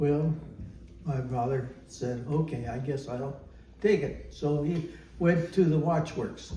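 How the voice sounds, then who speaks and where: Speaking very slowly, a man with an American accent uses a fairly high, somewhat breathy voice with a dark, mellow tone. His pitch varies in an ordinary way, and the room echo is audible. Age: 90s. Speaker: elderly man telling family history. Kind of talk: oral history interview. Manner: halting, many fillers.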